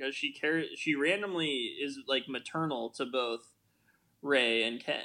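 With an American accent and a bright, sharp tone, a man speaks at a moderate pace and fairly high pitch, with ordinary pitch variation. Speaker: podcast co-host. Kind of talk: casual podcast chat about a film.

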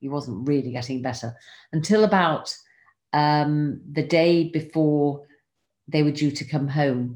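A woman with an English accent, very deep and low in pitch, at a fairly slow pace against a quiet background. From England. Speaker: podcast host sharing her diary. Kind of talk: reading aloud from a diary.

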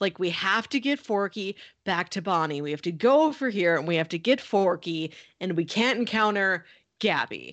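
A woman with an ordinary speaking voice, medium pitch, lively intonation and moderate pace, against a quiet background. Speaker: podcast co-host. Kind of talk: casual chat.

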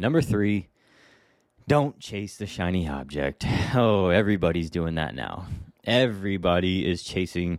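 On a very clean recording with a silent background, a man with a very deep, low voice speaks in an animated tone with lively intonation at a moderate pace. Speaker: real estate agent and podcast host. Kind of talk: casual monologue.

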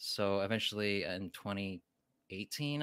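In a very clean recording with a silent background, a man speaks at a fairly low pitch with ordinary pitch variation. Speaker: YouTube creator reviewing giant monster films. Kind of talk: casual interview chat. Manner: thoughtful with long pauses.

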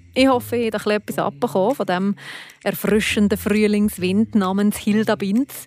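A woman's voice has ordinary pitch variation. Background music plays behind her. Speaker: podcast host. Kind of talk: casual interview. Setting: at the guest's home.

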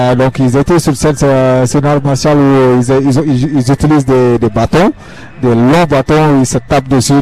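With an ordinary speaking voice, a man speaks at a fairly slow pace and medium pitch, his intonation fairly even. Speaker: field reporter. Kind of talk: live field reporting. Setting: outdoor festival.

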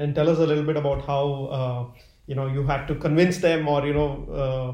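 At a moderate pace, a man talks in a fairly high, somewhat breathy voice. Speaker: podcast host. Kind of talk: interview. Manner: halting.

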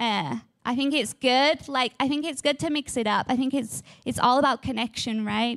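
A woman's high-pitched voice with fairly even intonation, on a very clean recording with a silent background. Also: moderate pace. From England. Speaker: guest speaker at church. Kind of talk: sermon. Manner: casual, chatty.

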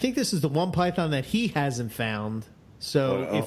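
A man's fairly high voice in a Philadelphia accent, at a fairly slow pace, with very wide pitch swings. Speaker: podcast co-host. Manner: casual, conversational.

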